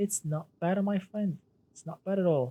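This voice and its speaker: The speaker has an Arabic accent. The pace is moderate. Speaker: gaming streamer. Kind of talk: live stream commentary. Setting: live stream. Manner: halting, many fillers and repetitions.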